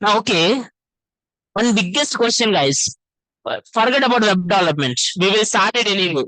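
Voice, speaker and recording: A man projects a raised voice with a high pitch and a bright, sharp tone. His intonation is lively, his pace moderate, and the sound dry and close with no echo. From Telangana, India. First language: Telugu. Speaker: web development teacher. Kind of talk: lecture. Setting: classroom with online participants. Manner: animated.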